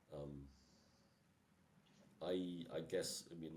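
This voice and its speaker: A man's very deep, low voice with a dark, mellow tone, fairly even intonation and audible room echo. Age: 60s. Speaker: engineer, technical director. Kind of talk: podcast interview. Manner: halting.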